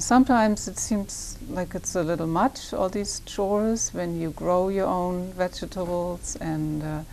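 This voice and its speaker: A woman speaks at a fairly slow pace with a German accent and hardly any pauses. Her pitch sits in the medium range, with ordinary variation. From Germany, Hamburg. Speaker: poet and poetry teacher. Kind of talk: interview. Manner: halting.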